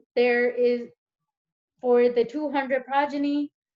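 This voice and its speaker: A high-pitched woman's voice against a quiet background. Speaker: teaching assistant; teacher or tutor. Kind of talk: tutorial. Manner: hesitant, many fillers. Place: home room. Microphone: webcam.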